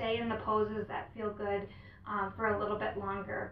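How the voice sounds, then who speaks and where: The speech moves at a moderate pace, with audible room echo around it. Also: woman. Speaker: yoga instructor. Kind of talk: tutorial. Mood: calm, gentle. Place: home room.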